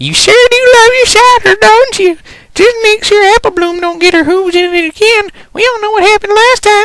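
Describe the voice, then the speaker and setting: A put-on character voice rises to an extremely high pitch. The delivery comes at a fairly quick pace. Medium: read story. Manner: folksy, homespun.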